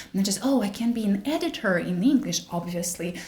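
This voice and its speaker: Her intonation is lively, and this woman speaks at a medium pitch with a Russian accent. Noticeable background noise runs behind her. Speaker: wellness content creator. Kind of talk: casual chat. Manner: halting.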